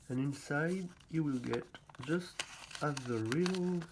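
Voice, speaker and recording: With a non-native accent, the speaker talks at a very slow pace over noticeable background noise. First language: not English. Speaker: hand-made card replica seller. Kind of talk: product unboxing demo. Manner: halting.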